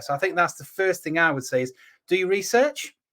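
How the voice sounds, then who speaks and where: Someone with an East Midlands accent speaks at a fairly quick pace on a very clean recording with a silent background. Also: man. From England, Lincoln. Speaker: estate agent and show host. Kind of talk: live show discussion. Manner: conversational, filler-heavy.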